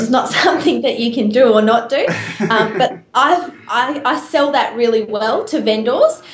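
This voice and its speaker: With an Australian accent, a woman speaks at a moderate pace and a high pitch, with ordinary pitch variation. Noticeable background noise can be heard. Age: 20s. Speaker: real estate agent and auctioneer. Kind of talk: interview answer.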